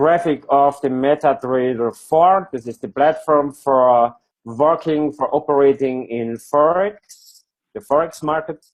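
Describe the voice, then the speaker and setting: Speaking at a very slow pace with a non-native accent, a man with a fairly high pitch shows ordinary pitch variation. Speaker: product presenter. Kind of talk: online presentation. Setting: video call with screen share. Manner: halting.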